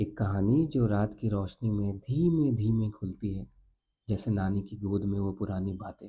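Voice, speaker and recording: A soft-spoken, somewhat breathy man with a dark, mellow tone, fairly low pitch, and ordinary pitch variation. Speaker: storyteller. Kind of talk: sleep story. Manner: slow, soft.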